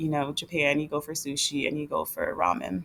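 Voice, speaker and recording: A woman talks in an animated tone, her voice showing vocal fry. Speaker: retired travel vlogger. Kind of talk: casual screen-share vlog. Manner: fast.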